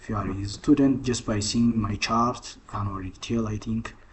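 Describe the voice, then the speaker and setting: A man with a non-native accent speaks at a medium pitch with vocal fry. His pace is moderate. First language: not English. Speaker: trading content creator. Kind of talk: casual chat; tutorial. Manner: halting, many fillers and restarts.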